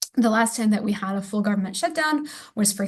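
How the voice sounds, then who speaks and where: A woman's somewhat breathy voice at a fairly quick pace. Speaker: policy manager presenting a webinar. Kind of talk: webinar presentation. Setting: online webinar. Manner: fast.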